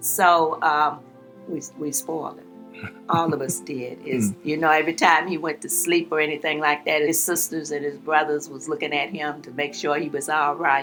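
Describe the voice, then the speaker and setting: With music playing in the background, a woman with a Southern US accent speaks at a moderate pace in a very deep, low pitch, her loudness swinging widely and her pitch varying an ordinary amount. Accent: Southern American. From Charlottesville, Virginia. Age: 80s+. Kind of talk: interview answer.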